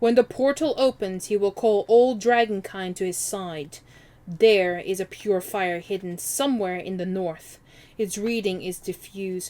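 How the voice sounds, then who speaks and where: At a moderate pace, a woman puts on a character voice at a medium pitch. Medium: game stream. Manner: cold, menacing.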